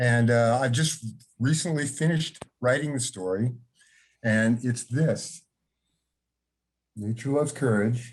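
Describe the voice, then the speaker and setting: A man at a medium pitch, somewhat breathy, fairly slow with long, frequent pauses, very even loudness and ordinary pitch variation, against a quiet background. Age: 60s. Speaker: author and longtime fan. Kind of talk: casual share in an online salon. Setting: video call.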